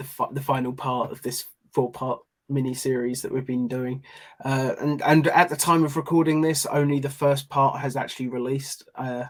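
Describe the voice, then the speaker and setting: A man speaks with a fairly high pitch and monotone, flat intonation at a moderate pace. The recording is very clean with a silent background. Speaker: podcast co-host. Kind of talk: casual chat.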